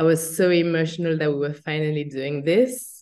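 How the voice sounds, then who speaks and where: A woman in a French accent, fairly low in pitch, moderate in pace, with fairly even intonation. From France. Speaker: agency founder. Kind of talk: interview.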